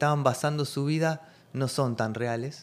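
A man talks at a fairly slow pace with a fairly high pitch and ordinary pitch variation. It is a normal speaking voice on a very clean recording with a silent background. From Argentina. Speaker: holistic therapeutic coach and shaman. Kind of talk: interview chat.

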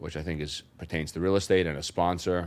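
In a New York accent, a man speaks at a moderate pace with a very deep, low pitch and monotone, flat intonation. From New York City, Brooklyn. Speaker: real estate investor. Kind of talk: interview. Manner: halting.

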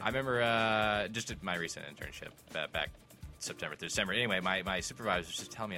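Over music in the background, a man talks very fast in a fairly low pitch with ordinary pitch variation. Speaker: podcast co-host.

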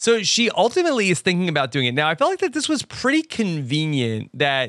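The man's voice has a bright, sharp tone and very wide pitch swings. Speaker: podcast host. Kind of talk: casual podcast recap.

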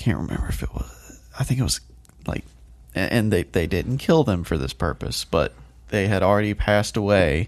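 At a moderate pace, a man speaks with a very deep, low pitch, very wide pitch swings and vocal fry. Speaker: podcast co-host. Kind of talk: casual chat.

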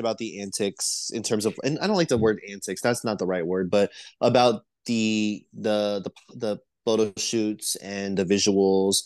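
Against a quiet background, a man with a normal speaking voice talks at a moderate pace in a fairly low pitch. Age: 20s. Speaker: podcast guest host. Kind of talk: casual chat.

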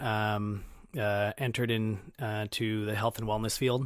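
The voice moves at a fairly slow pace with monotone, flat intonation. The recording is very clean, with a silent background. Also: man. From Minnesota, Twin Cities (Brooklyn Center). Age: 30s. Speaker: fitness coach and marathon runner. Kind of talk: casual interview chat.

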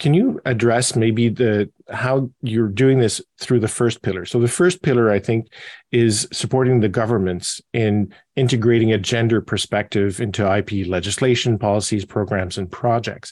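In a dry, close sound with no echo and a quiet background, a man of medium pitch speaks at a moderate pace with ordinary pitch variation. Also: hardly any pauses. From Canada. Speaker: podcast moderator and patent agent. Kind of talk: interview. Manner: hesitant with frequent fillers and repetitions.

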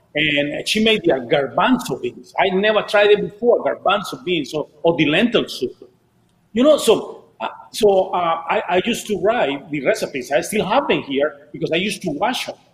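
With a Spanish accent, a man speaks at a moderate pace in a high voice with lively intonation. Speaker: DJ and Spanish-language show host. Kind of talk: casual chat. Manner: animated.

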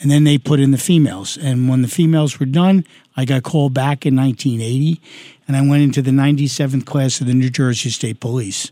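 Fairly quick and fairly high-pitched, a man with a New York accent speaks in a dark, mellow tone at very even loudness, with a dry, close sound and no echo. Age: 60s. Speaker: retired police detective running for Congress. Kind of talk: interview. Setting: studio.

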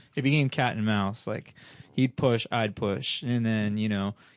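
This man has a plain, everyday voice, medium in pitch, and speaks at a moderate pace. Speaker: amateur track driver. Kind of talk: casual chat.

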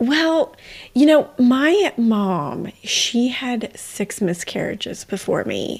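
Speaking at a very slow pace, a woman with a high pitch makes very wide pitch swings. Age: 40s. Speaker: podcast host. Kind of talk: casual chat.

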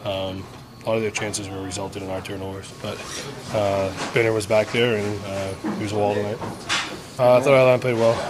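The delivery runs at a fairly quick pace in a monotone, flat intonation, with long, frequent pauses. Noticeable background noise sits behind it. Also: man, fairly low pitch for a man. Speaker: hockey analyst and co-commentator. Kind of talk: sports commentary and analysis.

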